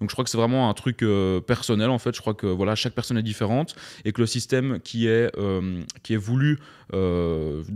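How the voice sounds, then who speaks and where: With a Belgian accent, a man speaks at a moderate pace and medium pitch, his loudness very even and his pitch varying in an ordinary way, on a very clean recording with a silent background. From southern Belgium. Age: 20s. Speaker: entrepreneur. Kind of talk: casual podcast interview. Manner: halting, many repetitions and fillers.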